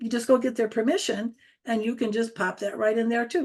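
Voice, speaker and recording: A woman speaks with a fairly high pitch. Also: quiet background. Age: 70s. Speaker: social media tutor. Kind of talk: online training presentation. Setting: video call. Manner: animated.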